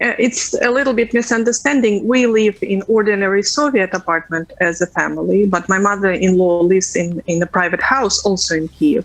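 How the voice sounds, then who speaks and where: A woman with a Russian accent talks at a fairly quick pace and medium pitch, with ordinary pitch variation and very even loudness, over noticeable background noise. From Ukraine, Kyiv. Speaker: interviewee, civilian resident. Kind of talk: news interview. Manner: halting.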